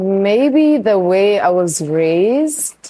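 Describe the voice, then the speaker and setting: Here is a woman speaking. Her tone is dark and mellow. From South Africa, North West (Rustenburg). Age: 20s. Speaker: interviewee. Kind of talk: interview. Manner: casual, filler-heavy.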